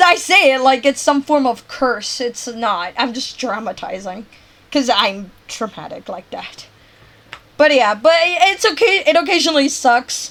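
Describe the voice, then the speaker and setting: A woman speaks in a high, animated voice at a fairly slow pace, with very wide pitch swings and big swings in loudness. Noticeable background noise runs underneath. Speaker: game streamer. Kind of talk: casual chat.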